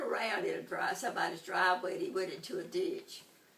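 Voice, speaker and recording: Over noticeable background noise, a woman with a Tennessee accent talks very fast in a high voice with very wide pitch swings. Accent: Southern US (Tennessee). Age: 80s+. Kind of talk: interview answer.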